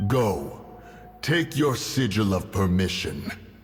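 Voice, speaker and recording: A man puts on a character voice, speaking very slowly at a fairly low pitch over clear background noise. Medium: machinima. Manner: archaic, formal, speaks of self as one.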